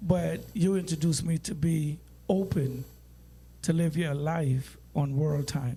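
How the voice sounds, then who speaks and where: With fairly even intonation, a man speaks in a fairly high voice with a dark, mellow tone. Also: fairly slow pace. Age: 80s+. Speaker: podcast guest. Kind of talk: casual chat.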